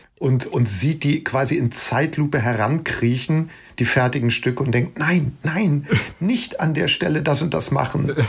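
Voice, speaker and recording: A somewhat breathy man at a fairly high pitch and fairly slow pace, with very even loudness and ordinary pitch variation. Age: 50s. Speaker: music journalist and author. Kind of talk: casual interview chat.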